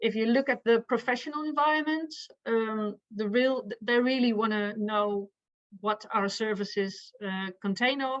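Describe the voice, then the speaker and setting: A woman with a Dutch accent talks at a fairly slow pace. Her pitch is fairly high, with ordinary pitch variation. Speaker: victim support professional. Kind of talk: conference presentation. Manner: halting.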